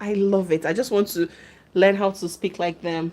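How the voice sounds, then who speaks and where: With an American accent, a woman speaks at a moderate pace and medium pitch in an animated tone, with noticeable background noise behind her. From Nigeria. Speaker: YouTuber. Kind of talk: live stream chat reading comments. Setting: live stream.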